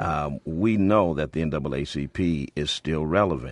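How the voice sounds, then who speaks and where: A very deep, low male voice with vocal fry, an American accent and ordinary pitch variation, recorded dry and close with no echo against a quiet background. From Springfield, Massachusetts. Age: 40s. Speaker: pastor and civil rights organization leader. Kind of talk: radio talk show interview. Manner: repeats words, stammering starts.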